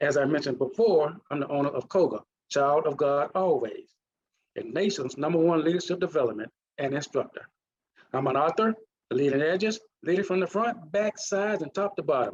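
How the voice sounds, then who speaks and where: Lively in intonation, a man with a Mississippi accent and a fairly high pitch talks at a fairly quick pace. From US South, Mississippi. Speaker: leadership consultant. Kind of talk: presentation.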